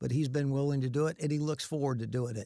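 A man speaks in a Southern US accent at medium pitch with fairly even intonation. The recording is very clean with a silent background. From Florida (Winter Haven). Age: 60s. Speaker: host's father, builder. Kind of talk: casual chat.

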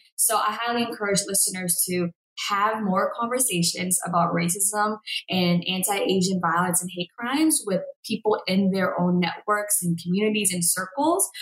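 With a normal speaking voice, a woman talks at a moderate pace and with ordinary pitch variation. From Boston, Massachusetts. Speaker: coffee company founder. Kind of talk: interview.

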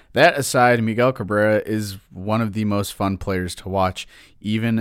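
In an American accent, a plain, everyday voice speaks at a moderate pace on a very clean recording with a silent background. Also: man. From Detroit, Michigan. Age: 20s. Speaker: sports podcast host. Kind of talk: solo sports commentary podcast.

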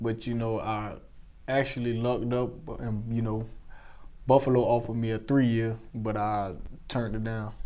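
A man's dark, mellow, medium-pitched voice at a moderate pace, monotone and flat, with long, frequent pauses. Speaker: NFL wide receiver. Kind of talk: interview. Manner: soft-spoken.

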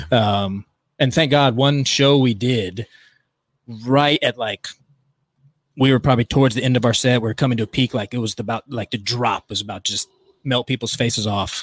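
In a dry, close sound with no echo, a man at medium pitch speaks at a moderate pace with fairly even intonation and long, frequent pauses. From US East Coast, Virginia. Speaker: club and arena DJ. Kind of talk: casual interview chat.

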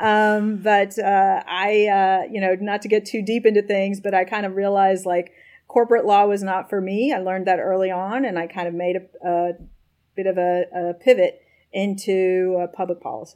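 The speaker is a woman with a medium pitch. Her intonation is monotone and flat. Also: moderate pace. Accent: American. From US South, Nashville, Tennessee. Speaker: tech company policy executive, former government staffer. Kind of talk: interview.

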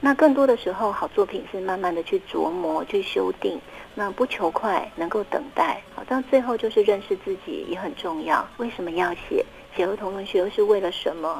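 Noticeable background noise accompanies a woman speaking at medium pitch and a moderate pace with lively intonation. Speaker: children's author. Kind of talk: interview.

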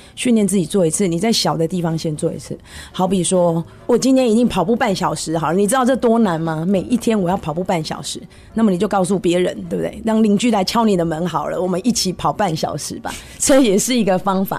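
A woman with a mid-range pitch talks extremely fast, her pitch moving in a normal way, while clear background noise is present. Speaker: car saleswoman. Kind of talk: interview.

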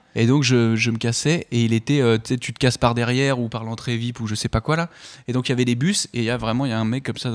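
A man at a very fast pace and medium pitch with fairly even intonation, in a very clean recording with a silent background and a dry, close sound with no echo. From Paris region, France. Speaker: actor. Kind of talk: casual chat.

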